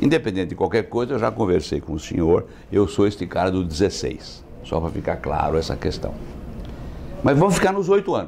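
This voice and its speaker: Speaking at a fairly quick pace, a man with a fairly low pitch makes very wide pitch swings. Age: 70s. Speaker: insurance executive. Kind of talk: interview.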